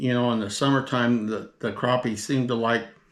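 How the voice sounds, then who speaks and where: This is a man speaking. He has an American accent. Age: 60s. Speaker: fishing video host. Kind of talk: tutorial. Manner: halting, many fillers; casual.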